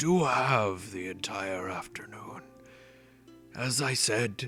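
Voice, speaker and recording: A man puts on a raspy character voice at a medium pitch and a very slow pace. Clear music plays in the background. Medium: actual play. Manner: formal, courteous.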